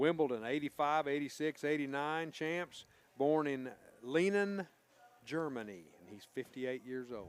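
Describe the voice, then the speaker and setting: A man with an East Tennessee accent and a fairly high pitch talks at a fairly slow pace, his intonation lively and his loudness swinging widely. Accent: US Southern (East Tennessee). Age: 60s. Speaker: sports radio co-host, former local athlete. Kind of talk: sports headlines reading.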